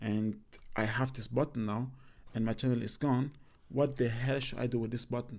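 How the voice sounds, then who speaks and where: A man speaks at a moderate pace with a non-native accent. His medium-pitched voice stays monotone, with flat intonation. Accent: own accent noted, non-native English. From Cameroon. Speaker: YouTuber, comedy creator. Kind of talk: casual vlog talk.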